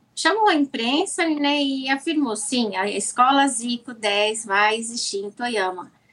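Her intonation lively and her pitch high, a woman talks at a fairly slow pace with hardly any pauses. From Brazil. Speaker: business owner, sponsor. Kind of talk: casual interview.

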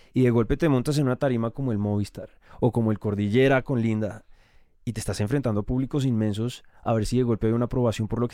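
At a very fast pace, a man talks in a medium-pitched voice with a dark, mellow tone and fairly even intonation. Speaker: podcast host. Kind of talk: interview.

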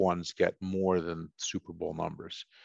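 Speaking at a fairly slow pace with an American accent, a man with a plain, everyday voice and fairly low pitch comes across in a dry, close sound with no echo over a quiet background. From Boston, US (first 11 years in Italy). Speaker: motorsport team business executive. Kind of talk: interview.

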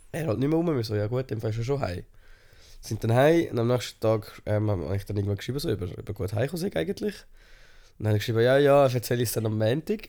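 In a very clean recording with a silent background, a man speaks at a very fast pace. His medium-pitched voice has a dark, mellow tone and lively intonation. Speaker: podcast co-host. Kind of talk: casual chat.

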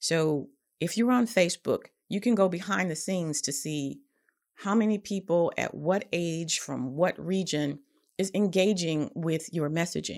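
Heard on a very clean recording with a silent background, a woman with a fairly low pitch uses an ordinary speaking voice with lively intonation at a moderate pace. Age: 50s. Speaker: podcast host and nonprofit consultant. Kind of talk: casual instructional talk.

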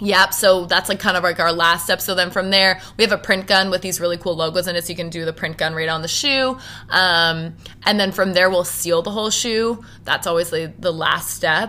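Her bright, sharp tone sits at a medium pitch for a woman, moving at a fairly quick pace with fairly even intonation. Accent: Maritime Canadian. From Halifax, Nova Scotia, Canada. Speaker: business owner. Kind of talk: interview.

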